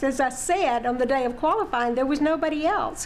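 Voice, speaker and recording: A woman talks fairly quickly at a high pitch, with noticeable background noise and audible room echo. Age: 70s. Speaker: city council member. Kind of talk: interview.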